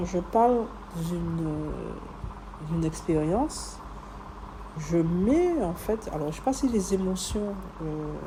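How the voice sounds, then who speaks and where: In a calm tone and at a very slow pace, the speaker leaves long, frequent pauses amid audible room echo and noticeable background noise. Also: woman. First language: other than French, French is heritage language (speaking French). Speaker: podcaster and entrepreneur. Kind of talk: personal reflection monologue. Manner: hesitant, many fillers.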